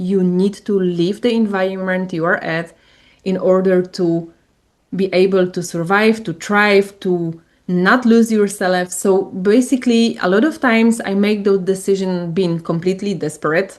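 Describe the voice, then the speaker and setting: At a fairly slow pace, a woman speaks at a medium pitch with fairly even intonation against a quiet background. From Poland. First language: Polish. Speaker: coach and spiritual entrepreneur. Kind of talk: interview.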